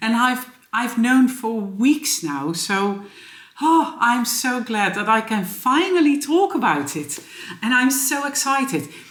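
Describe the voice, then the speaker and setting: A woman with a Dutch accent speaks at a high pitch, her voice making very wide swings. Noticeable background noise and audible room echo run through the recording. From Netherlands. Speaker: knitting vlogger and yarn shop owner. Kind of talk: casual vlog. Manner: hesitant, many fillers.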